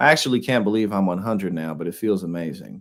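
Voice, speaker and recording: In a very clean recording with a silent background, a man with a normal speaking voice talks at a fairly quick pace, his fairly low pitch showing ordinary variation. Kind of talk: casual news reaction commentary. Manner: casual, conversational.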